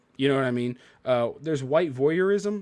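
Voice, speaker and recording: Speaking at a very fast pace, a man comes through in a very clean recording with a silent background. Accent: American. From US South, Memphis, Tennessee. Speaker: podcast host. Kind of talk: casual chat.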